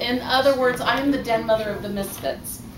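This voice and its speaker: Against noticeable background noise, a woman keeps up a fairly quick pace. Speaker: fan club officer and ship's counselor. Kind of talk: ceremony speech. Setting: live event hall.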